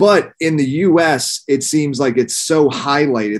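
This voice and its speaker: A man with an American accent speaks with ordinary pitch variation over a quiet background. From Pennsylvania, near Philadelphia. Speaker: podcast host. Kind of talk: casual interview. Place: home room. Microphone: webcam.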